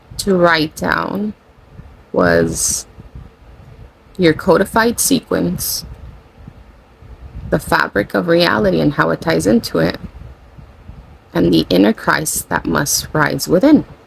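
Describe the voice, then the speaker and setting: A very slow pace broken by long, frequent pauses. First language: Spanish. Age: 40. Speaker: spiritual channeler / content creator. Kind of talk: casual spiritual monologue. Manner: rambling, self-correcting.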